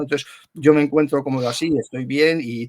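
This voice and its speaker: A man speaks in a plain, everyday voice. His pitch variation is ordinary. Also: dry, close sound with no echo. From Spain. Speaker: voice actor. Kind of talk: interview answer.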